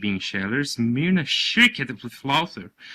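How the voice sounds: With lively intonation, the speaker uses a natural reading voice.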